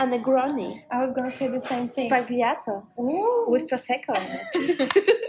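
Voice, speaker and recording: There is noticeable background noise as a woman speaks in a high voice. Her pace is moderate and her pitch variation ordinary. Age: 20s. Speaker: podcast co-host. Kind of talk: casual chat. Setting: cafe.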